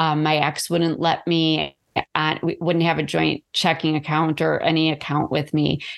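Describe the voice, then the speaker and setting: Speaking at a fairly slow pace, a woman uses a very deep, low voice with vocal fry, monotone, flat intonation and very even loudness, on a very clean recording with a silent background. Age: 40s. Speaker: author and abuse survivor. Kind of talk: interview.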